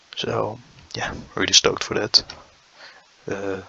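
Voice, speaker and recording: A man speaks in a dry, close sound with no echo. Noticeable background noise sits behind him. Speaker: youtuber reacting to cartoon trailers. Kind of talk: casual commentary. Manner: slow.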